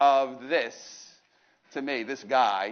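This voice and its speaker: A loud man's voice, fairly high in pitch, with a New York accent. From New York, Brooklyn. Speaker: motivational speaker. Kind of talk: motivational talk. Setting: stage with audience. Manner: animated.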